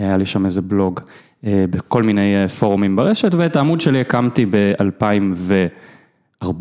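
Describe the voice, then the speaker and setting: Dark, mellow tone from a man with fairly low pitch, ordinary pitch variation and a fairly slow pace. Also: very even loudness. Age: 30s. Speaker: tennis blogger. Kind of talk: casual chat.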